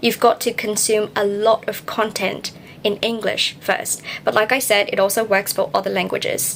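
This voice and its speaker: A woman with a fairly high pitch speaks at a moderate pace with fairly even intonation. Noticeable background noise can be heard. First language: not English. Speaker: English learning youtuber. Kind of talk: tutorial. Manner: emphatic, repeats key points.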